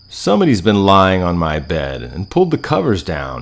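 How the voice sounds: A man uses a put-on character voice, growling at a very deep, low pitch at a moderate pace.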